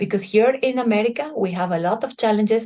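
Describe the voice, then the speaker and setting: A woman speaks with lively intonation and a moderate pace. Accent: Bolivian. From Bolivia. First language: Spanish. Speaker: chemical engineer and civic organization leader. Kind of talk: prepared presentation.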